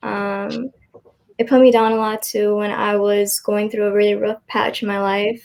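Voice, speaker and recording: Fairly high-pitched and at a fairly slow pace, a woman's plain, everyday voice. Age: 18. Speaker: college student. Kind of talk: interview testimony.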